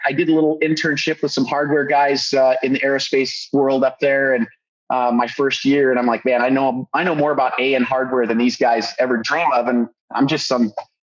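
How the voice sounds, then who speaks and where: A man with a Californian accent, fairly high pitch, fairly even intonation and a moderate pace. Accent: Californian American English. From Southern California, Orange County. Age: 40s. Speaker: custom car builder. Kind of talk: podcast interview. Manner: hesitant, many fillers.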